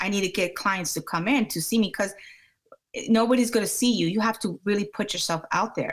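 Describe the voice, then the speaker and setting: A somewhat breathy woman's voice with an American accent at a fairly quick pace. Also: medium pitch for a woman, ordinary pitch variation. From Maryland, US. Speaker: scalp micropigmentation practitioner. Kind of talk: interview.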